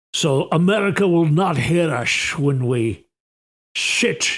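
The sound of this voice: A man puts on a character voice in a Scottish accent. He speaks at a very slow pace.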